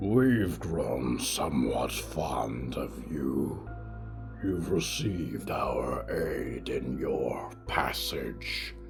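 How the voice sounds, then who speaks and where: Over loud background music, a man uses a put-on character voice at a very slow pace. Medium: read story. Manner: wry, measured, speaks as a collective "we".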